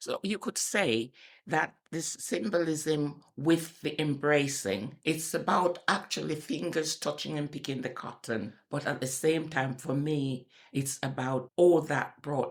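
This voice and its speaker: A woman's very deep, low voice at a fairly slow pace, with hardly any pauses. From Jamaica. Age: 80s+. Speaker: retired health service worker. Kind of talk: interview answer.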